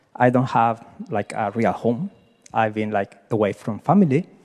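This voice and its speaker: Speaking at a fairly slow pace in a Chilean Spanish accent, a man uses very wide pitch swings in a dry, close sound with no echo. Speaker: happiness advocate, nonprofit founder. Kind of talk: question at a coaching event. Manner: halting; energetic.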